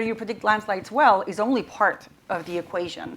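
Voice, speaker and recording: Speaking with a non-native accent, a woman keeps her voice at a medium pitch. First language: not English. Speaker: panelist, AI auditing expert. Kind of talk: panel discussion. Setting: stage with audience. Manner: halting, many fillers and repetitions.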